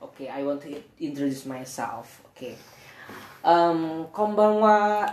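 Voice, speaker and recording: A woman speaks in an Indonesian accent with a very deep, low pitch. Her intonation is lively. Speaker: podcast co-host. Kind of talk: casual chat. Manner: halting.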